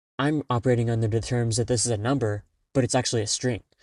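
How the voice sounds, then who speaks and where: A man's medium-pitched voice at a fairly quick pace, fairly even in intonation, dry and close with no echo against a quiet background. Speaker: solo podcaster and programmer. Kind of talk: casual solo podcast monologue. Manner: fast; many pauses and fillers.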